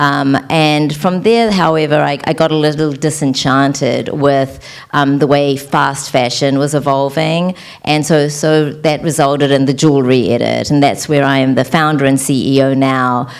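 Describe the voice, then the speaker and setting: Speaking in a New Zealand accent, a woman uses a very deep, low pitch, a moderate pace, fairly even intonation and very even loudness. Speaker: entrepreneur, former attorney. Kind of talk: panel interview.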